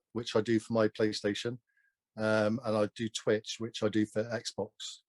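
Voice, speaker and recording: A man at a fairly slow pace in a dry, close sound with no echo, on a very clean recording with a silent background. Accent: Somerset. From Gloucestershire, south-west England. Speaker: online snooker video game champion and streamer. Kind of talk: casual interview chat.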